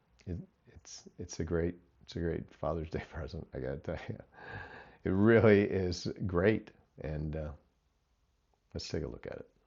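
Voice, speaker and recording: A man speaks with a very deep, low pitch and vocal fry at a moderate pace. His pitch varies in an ordinary way, with long, frequent pauses. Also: big swings in loudness. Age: 60s. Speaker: hobby drone pilot, grandfather. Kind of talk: casual talk to camera, product recommendation.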